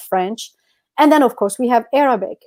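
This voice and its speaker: A woman's high-pitched voice with ordinary pitch variation, very cleanly recorded against a silent background. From Algeria. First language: Amazigh. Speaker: podcast co-host. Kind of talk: casual chat.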